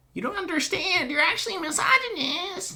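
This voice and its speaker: A man puts on a squeaky character voice at an extremely high pitch. He talks at a fairly quick pace. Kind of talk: comic overacting. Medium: game stream. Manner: whiny, petulant.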